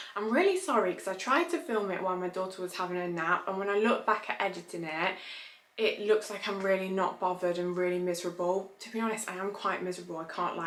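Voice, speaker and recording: A woman talks at a very fast pace in a medium pitch with fairly even intonation, and noticeable background noise sits behind her. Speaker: lifestyle vlogger. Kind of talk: casual vlog. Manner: quiet, subdued.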